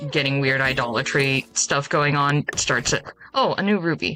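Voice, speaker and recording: A woman's very deep, low voice moves at a moderate pace while noticeable noise carries on in the background. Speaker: game streamer. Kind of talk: casual chat. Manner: usually quiet.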